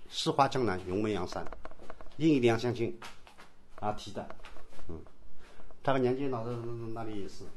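The voice belongs to a man. Very wide swings run through his pitch. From Yangshan, Wuxi, Jiangsu. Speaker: local historian and tour guide. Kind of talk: guided walking tour. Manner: halting, many fillers.

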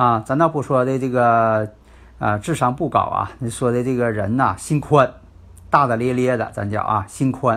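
A man speaks with a medium pitch and fairly even intonation at a moderate pace. The recording is very clean, with a silent background. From Northeast China. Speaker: fortune-telling and feng shui teacher. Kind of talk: lecture. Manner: filler-heavy, with frequent 啊 and 呢.

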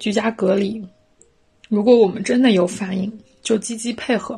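Her pitch fairly high for a woman, she speaks at a fairly slow pace with monotone, flat intonation. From Hubei, Shiyan. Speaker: podcast host. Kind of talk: personal essay read aloud. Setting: at home on balcony.

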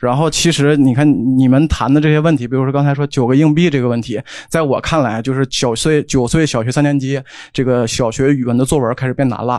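A man races along at a very fast pace, his intonation fairly even. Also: medium pitch for a man. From Northeast China. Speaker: audience member, education researcher. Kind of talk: audience contribution. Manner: stammering.

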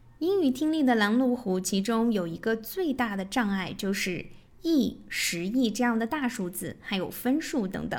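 Her pitch fairly high, a woman talks at a moderate pace with lively intonation. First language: Mandarin Chinese. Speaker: English teacher, podcast host. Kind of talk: tutorial.

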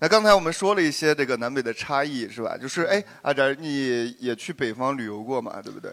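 A man with a normal speaking voice talks at a fairly high pitch and a fairly quick pace, with hardly any pauses. His intonation is lively and his loudness swings widely, on a very clean recording with a silent background. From southern Shanxi (Jinnan), China. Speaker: podcast guest, performer. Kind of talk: casual group chat before live audience.

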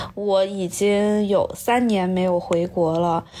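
A woman talking at a very slow pace against noticeable background noise. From Nanjing, China. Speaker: high school language teacher. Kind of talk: casual chat.

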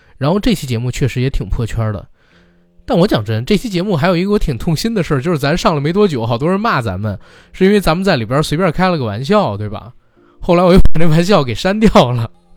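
His pitch leaps across a very wide range. The man's delivery races along at a very fast pace. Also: fairly high pitch for a man. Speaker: podcast host. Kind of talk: casual chat.

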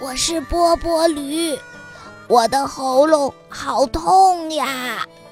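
A put-on character voice, hoarse and raspy, sits at a high pitch and moves at a very slow pace. Clear music plays in the background.

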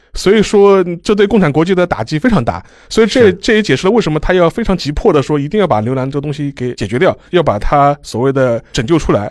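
A man talks at a fairly high pitch with very wide pitch swings. He speaks at a very fast pace with hardly any pauses. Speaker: historian and archivist. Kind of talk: casual discussion.

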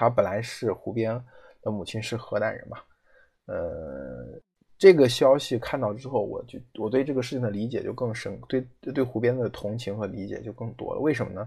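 A man at a moderate pace with big swings in loudness, against a quiet background. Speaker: podcast host. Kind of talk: solo commentary. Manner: hesitant with frequent fillers.

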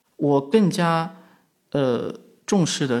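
A man speaks with lively intonation and vocal fry. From western China, rural. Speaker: media company founder. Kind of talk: conversational interview. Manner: frequent hesitation fillers.

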